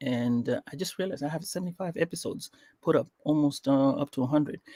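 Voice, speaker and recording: A man with an African accent talks at a very fast pace, his pitch fairly high for a man. His tone is dark and mellow, recorded with a dry, close sound and no echo. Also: ordinary pitch variation. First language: Swahili. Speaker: podcast host. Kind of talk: interview. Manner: hesitant, many fillers.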